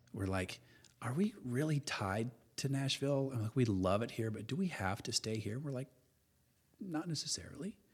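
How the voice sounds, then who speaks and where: A man speaks at a medium pitch with lively intonation. His pace is moderate and his voice somewhat breathy. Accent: American. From central Illinois, US Midwest. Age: 50s. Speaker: commercial photographer. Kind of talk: casual interview conversation. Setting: studio, in person.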